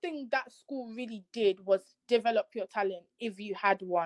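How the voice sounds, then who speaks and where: A woman talks at a moderate pace, the sound dry and close with no echo. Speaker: interviewee. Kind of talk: casual interview. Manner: casual, filler-heavy.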